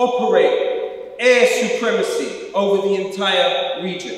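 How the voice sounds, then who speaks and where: Strong room echo surrounds the voice. A man speaks at a very slow pace. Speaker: speaker. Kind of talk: political speech. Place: church.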